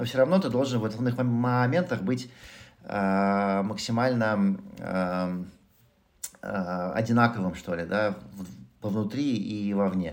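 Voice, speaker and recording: A man's fairly low voice at a very slow pace, with ordinary pitch variation, long, frequent pauses and audible room echo. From Moscow, Russia. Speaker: entrepreneur, former tech executive. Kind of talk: interview conversation. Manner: hesitant, many filler sounds.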